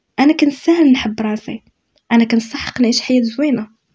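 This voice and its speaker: Her pitch fairly high, a woman with a Moroccan accent speaks at a fairly quick pace with ordinary pitch variation. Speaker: self-help youtuber. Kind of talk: motivational talk. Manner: spontaneous, unscripted.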